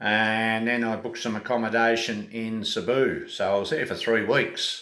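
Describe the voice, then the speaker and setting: With an Australian accent, the speaker keeps a moderate pace amid audible room echo. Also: man. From Australia (Tasmania). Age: 60s. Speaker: travel vlogger. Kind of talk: casual vlog monologue. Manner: hesitant, many fillers.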